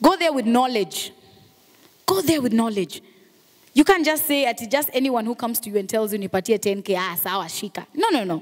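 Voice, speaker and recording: In a Kenyan accent, a woman speaks at a moderate pace with a high pitch, very wide pitch swings, and an animated tone. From Kenya, Mombasa. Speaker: radio and TV presenter; radio, TV presenter. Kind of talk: motivational talk. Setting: stage with audience. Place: hall. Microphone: handheld.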